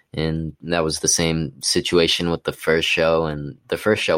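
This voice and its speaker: On a very clean recording with a silent background, a man with an American accent speaks in a very deep, low voice with flat, monotone intonation. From Utah, US. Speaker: rapper. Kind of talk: casual interview. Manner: casual, laid-back.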